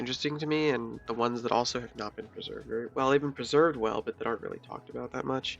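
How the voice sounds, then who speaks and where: A man talks quietly at a very fast pace, with hardly any pauses and fairly even intonation. Music plays in the background. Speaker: esports commentary narrator. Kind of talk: casual gameplay analysis commentary.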